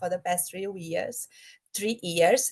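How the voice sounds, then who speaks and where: With a Brazilian Portuguese accent, a woman talks with ordinary pitch variation. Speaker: project manager. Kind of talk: online presentation. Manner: halting, with fillers.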